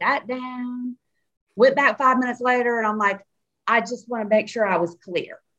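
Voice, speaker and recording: With a strong Southern US accent, a woman speaks at a high pitch in a bright, sharp tone. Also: ordinary pitch variation. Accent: Southern drawl, strong. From Nashville, Tennessee. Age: 50s. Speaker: cannabis and CBD business founder. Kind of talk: interview. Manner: animated.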